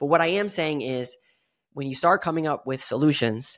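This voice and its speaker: A man speaks at a moderate pace with ordinary pitch variation in a plain, everyday voice, on a very clean recording with a silent background. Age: 30s. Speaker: podcast host. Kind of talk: solo podcast monologue.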